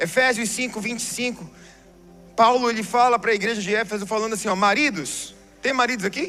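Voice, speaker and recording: This man talks at a fairly quick pace with a high pitch and ordinary pitch variation. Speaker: pastor. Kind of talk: sermon.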